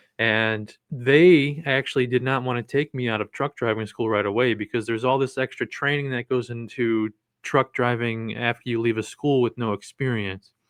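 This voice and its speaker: Speaking at a moderate pace, a man with a medium pitch and an American accent keeps his intonation fairly even. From Cleveland, Ohio, US Midwest. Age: 30s. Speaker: mushroom content creator and truck driver. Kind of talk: casual interview.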